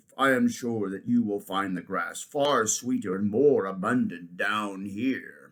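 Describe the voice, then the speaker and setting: Using a put-on character voice at medium pitch, a man talks at a fairly slow pace with hardly any pauses. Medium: read story. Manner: wheedling.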